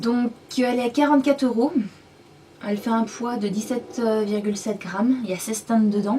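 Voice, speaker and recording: A woman speaks at a fairly quick pace yet with long, frequent pauses, her pitch fairly high and her intonation fairly even, over noticeable background noise. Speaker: beauty vlogger. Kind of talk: makeup product review and swatch demo. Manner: casual, hesitant with many fillers.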